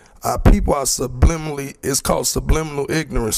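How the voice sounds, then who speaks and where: A man with an American accent at a fairly quick pace, with music in the background. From Chicago, US. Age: 20s. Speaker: community member speaking at a public forum. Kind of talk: public forum speech. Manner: halting, many repetitions and fillers.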